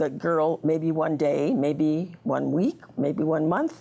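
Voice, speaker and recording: A woman with an American accent speaks at a very deep, low pitch with ordinary pitch variation. Her tone is dark and mellow, with vocal fry. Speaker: local elder, retired teacher. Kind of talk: interview. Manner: halting.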